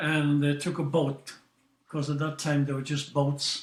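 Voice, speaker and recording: Somewhat breathy, a man talks at a fairly slow pace in a fairly high pitch. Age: 80s+. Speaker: qigong grandmaster. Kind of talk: interview storytelling.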